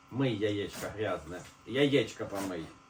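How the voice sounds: With audible room echo, a man speaks in a fairly low pitch with ordinary pitch variation.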